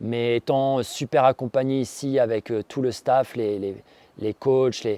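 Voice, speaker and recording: A man's dark, mellow tone at medium pitch, fairly slow and monotone, with a dry, close sound with no echo and a quiet background. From Normandy, France (Rouen). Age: 40s. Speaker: entrepreneur, former top-level athlete, course participant. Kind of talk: testimony. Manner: hesitant, many filler sounds.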